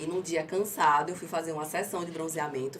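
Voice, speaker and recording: A woman's very deep, low voice with fairly even intonation at a fairly quick pace, amid noticeable background noise and audible room echo. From Aracaju, Sergipe, Brazil. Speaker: entrepreneur, tanning business owner. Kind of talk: interview. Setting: studio. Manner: articulate, trained speaker.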